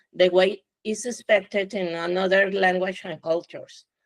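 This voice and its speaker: A woman with a Spanish accent at a medium pitch and a moderate pace, in a dry, close sound with no echo. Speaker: scientist. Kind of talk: panel discussion.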